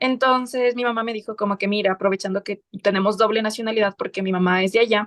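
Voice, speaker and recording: In a normal speaking voice, a woman talks at a medium pitch with fairly even intonation, the sound dry and close with no echo. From southern Ecuador, Loja. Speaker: lawyer and writer. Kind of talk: interview.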